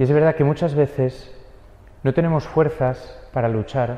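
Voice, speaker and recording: Somewhat breathy, dark, mellow male speech with a Spanish accent and fairly even intonation. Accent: Spain Spanish. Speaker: priest giving a homily. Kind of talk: homily preaching. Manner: earnest, exhortative; steady, didactic, rhetorical repetition.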